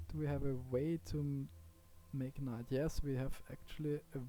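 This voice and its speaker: The speaker has a strong Austrian accent. The pace is moderate. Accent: heavy Austrian German. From Austria, Vienna. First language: German. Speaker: gaming YouTuber. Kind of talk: gameplay commentary. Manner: quiet, low volume; hesitant, with fillers. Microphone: poor audio quality, low volume.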